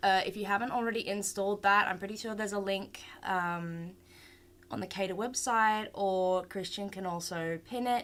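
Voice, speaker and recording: Her Australian accent comes through as a woman talks at a moderate pace and medium pitch with fairly even intonation. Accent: Australian, some. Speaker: 3D art instructor. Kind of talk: online class tutorial. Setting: live stream. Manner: casual, hesitant with many fillers.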